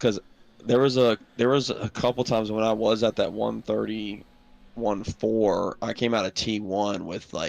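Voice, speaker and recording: Speaking with a Southern US accent, a man talks at a fairly slow pace and fairly low pitch with fairly even intonation. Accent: Gen Z Southern. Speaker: sim racing team driver. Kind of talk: casual chat. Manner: mumbling.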